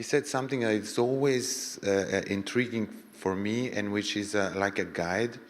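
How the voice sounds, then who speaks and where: Speech moves at a moderate pace with ordinary pitch variation. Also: man. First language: French. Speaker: audience member asking a question. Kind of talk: panel Q&A discussion. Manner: halting.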